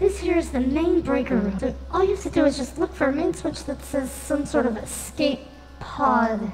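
Using a put-on character voice, a man speaks at a moderate pace. Clear background noise can be heard. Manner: rambling, stammering, panicky.

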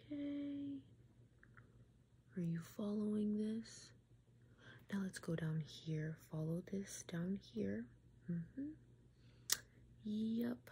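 A woman speaks slowly in a dark, mellow tone. Vocal fry runs through her voice.

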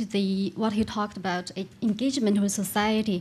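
A woman talks at a fairly quick pace with a fairly high pitch, a dark, mellow tone and a somewhat breathy sound. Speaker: graduate student in audience; audience member. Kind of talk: audience question. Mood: polite, slightly nervous. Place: hall. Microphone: podium.

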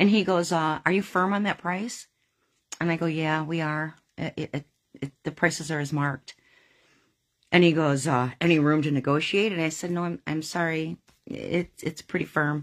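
A woman with a very deep, low pitch talks at a moderate pace over a quiet background. Long, frequent pauses break up her speech. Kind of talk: casual storytelling to camera. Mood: earnest, slightly exasperated. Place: home room. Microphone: phone near.

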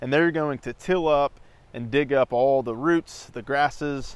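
The sound is dry with no echo as a man speaks at a fairly slow pace. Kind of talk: casual tutorial vlog. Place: garden. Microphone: lapel.

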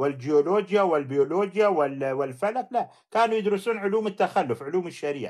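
Against a quiet background, a man with a high pitch talks at a fairly quick pace, with hardly any pauses, lively intonation and an animated tone. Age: middle-aged. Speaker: livestream host, critic of Islamic law. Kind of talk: livestream debate with callers.

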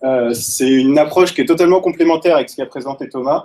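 A man talks in a fairly high pitch with a dark, mellow tone. The background is quiet. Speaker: data scientist; presenter. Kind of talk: technical talk. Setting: stage with audience. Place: meeting room. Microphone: headset.

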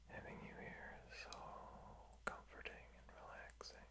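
A man talks at a medium speed while loud noise fills the background. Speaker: sleep-relaxation host. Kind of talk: soft-spoken sleep guidance, ASMR-like. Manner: soft, hushed bedtime ASMR speaking.

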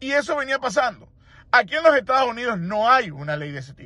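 A man speaks at a very fast pace in a raised, projected voice with a bright, sharp tone. His pitch swings very widely against a quiet background. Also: dry sound with no echo. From Venezuela. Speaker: immigration lawyer. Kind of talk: interview commentary; commentary. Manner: halting, with fillers. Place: car. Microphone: phone near.

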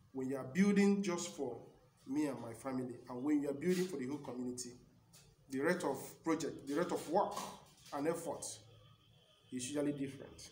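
A man talks at a fairly quick pace with long, frequent pauses, audible room echo and light background noise. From Nigeria. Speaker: community broadcaster. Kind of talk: motivational broadcast speech. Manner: formal. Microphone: phone near.

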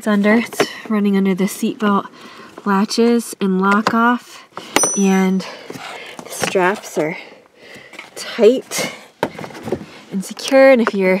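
Against noticeable background noise, a woman speaks at a very slow pace with long, frequent pauses in a dry sound with no echo. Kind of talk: tutorial narration. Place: car. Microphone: phone near.

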